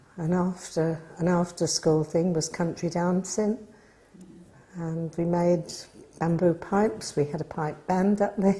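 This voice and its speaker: A woman's somewhat breathy voice, dark and mellow in tone, fairly low in pitch, with fairly even intonation and a fairly slow pace. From Norfolk, England. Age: 80s+. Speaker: village resident interviewed for local history. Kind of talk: oral history interview.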